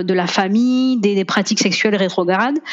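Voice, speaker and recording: A woman speaks quickly, her intonation fairly even. There is noticeable background noise. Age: 30s. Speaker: lawyer and family therapist. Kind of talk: casual interview.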